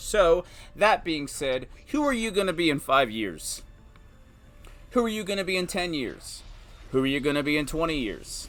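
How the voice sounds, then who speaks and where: Over background music, a man talks loudly at a moderate pace in a high pitch, with very wide pitch swings and long, frequent pauses. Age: 30s. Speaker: stay-at-home dad and video host. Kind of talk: personal monologue. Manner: animated.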